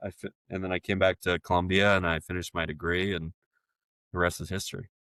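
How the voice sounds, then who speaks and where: A man with a Texan accent speaks at a very deep, low pitch. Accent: rich Texan. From Texas, Brenham. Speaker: agency founder and CEO. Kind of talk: podcast interview.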